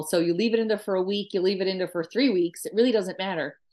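A woman speaks in a strong Newfoundland accent. The background is quiet. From Newfoundland, east coast. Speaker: food writer and traditional cook. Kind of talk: casual interview chat.

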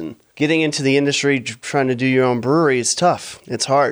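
A man with an unremarkable speaking voice moves at a fairly quick pace, keeping a medium pitch and ordinary pitch variation. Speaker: brewer and entrepreneur. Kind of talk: casual interview.

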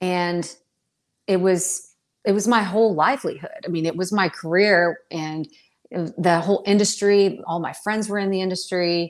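An unremarkable speaking voice from a woman with an American accent, medium pitch, fairly even intonation and a moderate pace. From North Carolina. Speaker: financial advisor. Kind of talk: podcast interview.

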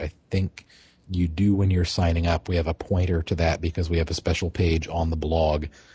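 A man's very deep, low voice, dark and mellow in tone and somewhat breathy, at a moderate pace against a quiet background. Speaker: web developer and forum moderator. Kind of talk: casual podcast chat. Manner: even, unexcited.

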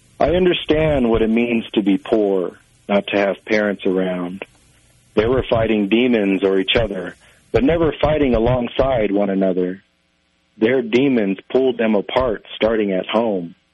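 Here is a man with an ordinary speaking voice at medium pitch. His pitch varies in an ordinary way, and his loudness stays very even. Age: 30s. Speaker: magazine editor. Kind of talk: interview answers, then spoken-word poetry reading. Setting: phone call. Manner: measured, reflective; poem delivered in a slow, lyrical cadence.

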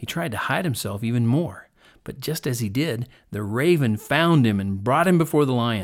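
Lively intonation during plain reading aloud

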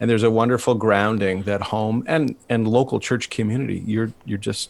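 A man's ordinary speaking voice, fairly low in pitch, at a moderate pace with fairly even intonation. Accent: Canadian. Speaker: podcast host and pastor. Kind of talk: interview conversation.

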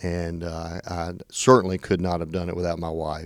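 On a very clean recording with a silent background, a man with a Tennessee accent speaks at a very deep, low pitch. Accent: Southern US (Tennessee). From US South, western Tennessee. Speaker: state legislator. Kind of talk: interview. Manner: hesitant, many fillers.

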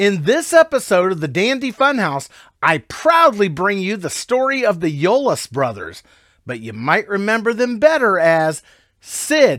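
A man speaks at a fairly slow pace in a high voice. His pitch swings very widely. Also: very clean recording, silent background. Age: 50s. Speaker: podcast host. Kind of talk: scripted narration.

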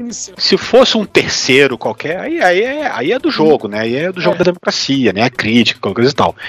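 The voice has very wide pitch swings at a moderate pace. The sound is dry and close with no echo, yet noticeable background noise is present. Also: man. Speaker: political podcast co-host. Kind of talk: casual political chat. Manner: halting, with many repeated words and fillers.

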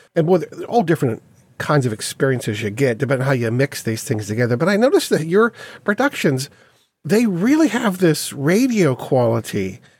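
A man's voice, fairly high for a man and somewhat breathy, rises and falls in very wide pitch swings. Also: fairly quick pace. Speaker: podcast host. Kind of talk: casual podcast interview. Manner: chatty, easygoing.

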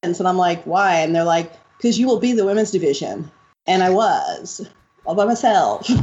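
A woman speaks in a plain, everyday voice with an American accent. She keeps a medium pitch, ordinary pitch variation and a moderate pace. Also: very even loudness. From New York City, Upper West Side. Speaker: retired freestyle frisbee champion. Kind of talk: interview. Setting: call.

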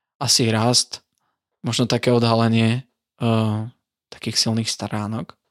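On a very clean recording with a silent background, a man at medium pitch sounds dry and close, with no echo. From eastern Slovakia, Sabinov district. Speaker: religion teacher. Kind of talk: casual interview.

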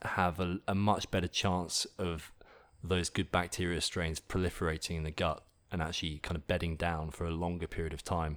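On a very clean recording with a silent background, a man with an English accent speaks at a moderate pace in a very deep, low voice with monotone, flat intonation. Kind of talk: interview.

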